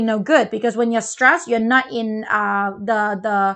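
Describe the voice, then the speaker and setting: A woman speaks with a non-native accent. The background is quiet. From Malaysia. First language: not English. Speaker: parenting show co-host. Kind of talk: casual chat.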